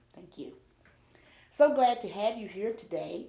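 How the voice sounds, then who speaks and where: A woman speaks at a fairly slow pace with lively intonation. Noticeable background noise is present behind her. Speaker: oral history interviewer. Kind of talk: interview questions.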